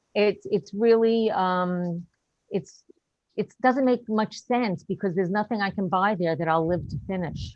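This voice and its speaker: Here a woman uses a normal speaking voice at medium pitch. She talks at a fairly slow pace with ordinary pitch variation. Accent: American. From New York. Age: 60s. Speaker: stand-up comedian. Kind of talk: stand-up. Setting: video call.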